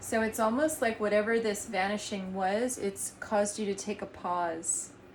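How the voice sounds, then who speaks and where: A soft-spoken woman talks at a moderate pace with medium pitch. Her intonation stays fairly even. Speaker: tarot reader and energy healer. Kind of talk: tarot reading. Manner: halting.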